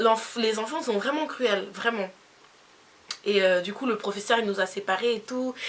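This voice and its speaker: Against noticeable background noise, a woman with a fairly high pitch speaks with ordinary pitch variation and long, frequent pauses. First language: Spanish (speaking French). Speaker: beauty youtuber. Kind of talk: storytime vlog. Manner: animated.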